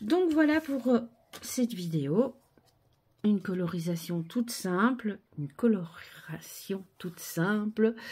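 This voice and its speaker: The voice is somewhat breathy with a dark, mellow tone, moving at a very slow pace with very wide pitch swings and long, frequent pauses. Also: woman, fairly high pitch for a woman. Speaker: craft video creator. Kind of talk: crafting tutorial. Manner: soft-spoken; casual, chatty.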